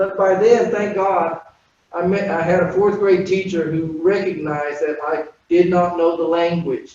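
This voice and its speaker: Someone with a Spanish accent talks at a moderate pace, with audible room echo. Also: man. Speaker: panelist. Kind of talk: personal testimony.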